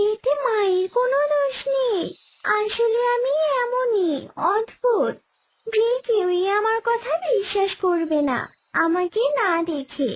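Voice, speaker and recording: A cartoonish character voice sits at an extremely high pitch. The pace is fairly slow. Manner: gentle, kindly.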